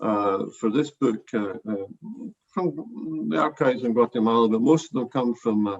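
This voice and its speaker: A man speaks at a medium pitch with a Glasgow accent. His pace is moderate and his pitch varies in an ordinary way. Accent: Scottish (Glasgow). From Scotland, Glasgow. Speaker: professor. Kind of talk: academic book presentation. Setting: video call. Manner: halting, many fillers.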